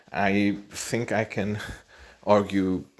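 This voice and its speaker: A man with a non-native accent and a fairly low pitch. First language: not English. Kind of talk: casual monologue. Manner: halting, many repetitions.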